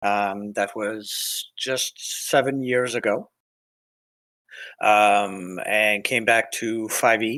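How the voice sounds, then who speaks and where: On a very clean recording with a silent background, a man speaks with a bright, sharp tone. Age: 60s. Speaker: tabletop game player. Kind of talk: self-introduction in casual chat. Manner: hesitant, many fillers.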